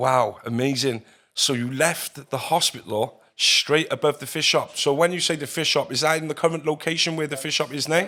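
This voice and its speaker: Speaking with a South Wales accent, a man uses a fairly high pitch and a bright, sharp tone, with ordinary pitch variation and a moderate pace. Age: 30s. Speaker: podcast host. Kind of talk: interview.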